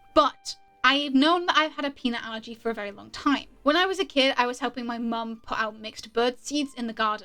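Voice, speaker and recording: Over music in the background, a woman with a British accent speaks at a fairly quick pace and a high pitch, with ordinary pitch variation and big swings in loudness. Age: 20s. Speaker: YouTuber, storyteller. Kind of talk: storytime monologue while drawing. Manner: casual, conversational.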